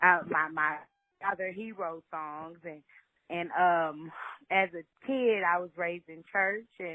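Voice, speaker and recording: A woman with a Southern US accent speaks very slowly at fairly low pitch, her tone bright and sharp. Her intonation stays fairly even while her loudness swings widely. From Louisiana, Shreveport. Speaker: singer-songwriter. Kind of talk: interview.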